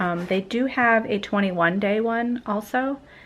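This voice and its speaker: Her pitch varying in an ordinary way, a woman speaks at a fairly slow pace. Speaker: vlogger. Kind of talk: vlog. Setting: at home at night. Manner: soft-spoken; hesitant, many fillers.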